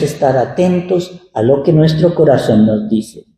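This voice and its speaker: Fairly slow, somewhat breathy speech in a dark, mellow tone, with very wide pitch swings and audible room echo. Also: man. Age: 60s. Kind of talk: sermon. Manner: conversational.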